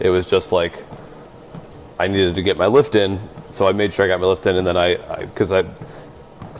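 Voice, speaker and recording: Mumbling in a put-on character voice, a man with a very deep, low pitch talks at a fairly quick pace broken by long, frequent pauses over light background noise. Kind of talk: casual, conversational.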